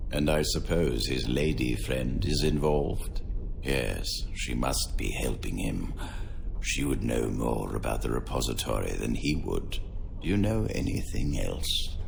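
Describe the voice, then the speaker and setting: A put-on character voice comes through over loud background noise. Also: man, moderate pace. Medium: machinima. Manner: authoritative, measured.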